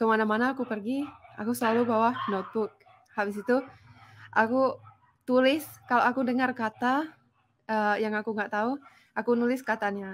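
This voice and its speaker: Pitched fairly high, a woman talks at a fairly quick pace broken by long, frequent pauses. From Finland. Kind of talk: casual chat.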